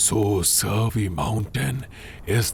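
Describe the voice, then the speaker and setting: Over light background noise, a man uses a put-on character voice at a very slow pace. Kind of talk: solemn period-drama dubbing. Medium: fan dub. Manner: measured, formal, grave.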